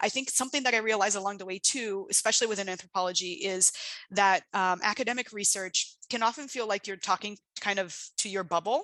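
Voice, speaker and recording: Very fast and bright, sharp in tone, a woman with a Portuguese accent speaks at a medium pitch with ordinary pitch variation. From Brazil. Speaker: international development researcher. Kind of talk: invited talk. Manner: hesitant, many fillers.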